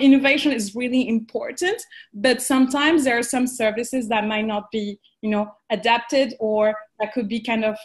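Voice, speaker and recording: A woman with a French accent talks at a moderate pace in a high pitch against a quiet background. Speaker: panelist. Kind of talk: panel discussion. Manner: halting, many fillers.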